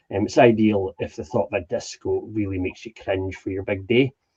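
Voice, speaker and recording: A man's fairly low, somewhat breathy voice in a Highland Scottish accent, dark and mellow in tone, at a moderate pace, with a dry, close sound and no echo. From Scottish Highlands. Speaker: ceilidh host and wedding entertainer. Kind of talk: casual introduction chat.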